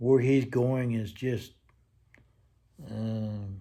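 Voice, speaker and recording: Over audible room echo, a man speaks very slowly at a medium pitch in a dark, mellow tone with monotone, flat intonation. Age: 70s. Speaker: grandfather interviewed for a class. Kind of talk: casual interview.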